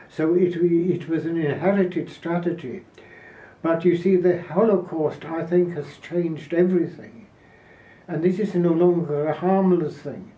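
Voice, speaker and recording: Fairly slow, high-pitched speech from a man, with fairly even intonation and audible room echo. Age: 90s. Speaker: Holocaust survivor and activist. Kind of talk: interview. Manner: halting.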